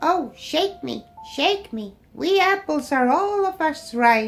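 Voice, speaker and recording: A woman puts on a squeaky character voice, high in pitch. She goes at a fairly slow pace with faint music in the background. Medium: read story.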